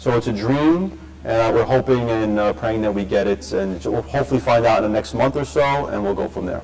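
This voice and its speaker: Speaking at a fairly quick pace with hardly any pauses, a man with a fairly low pitch makes very wide pitch swings over noticeable background noise. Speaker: school principal. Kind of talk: parent meeting talk. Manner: fast.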